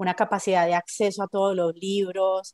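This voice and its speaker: A woman with a normal speaking voice talks at medium pitch and a moderate pace, the sound dry and close with no echo. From Colombia, Medellín. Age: 40s. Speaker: book editor. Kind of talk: interview.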